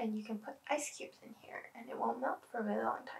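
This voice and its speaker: A woman speaks softly. Her pitch sits fairly high. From Canada. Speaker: art student; product reviewer. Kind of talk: ASMR product review. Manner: soft-spoken. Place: home room.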